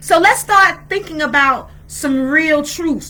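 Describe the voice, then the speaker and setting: A woman uses a raised, projected voice with lively intonation. Her pace is very slow. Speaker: spiritual teacher, video blogger. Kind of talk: sermon-style talk. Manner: halting.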